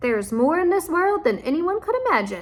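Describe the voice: A woman's put-on character voice at an extremely high pitch, with very wide pitch swings and a fairly quick pace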